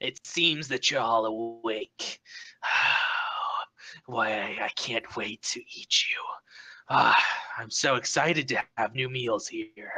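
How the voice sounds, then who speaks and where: Someone uses a raspy, put-on character voice with cackling. The pace is fairly slow, with long, frequent pauses. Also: man, medium pitch for a man. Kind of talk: Southern-flavored, drawling. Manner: cackling, gleeful, menacing.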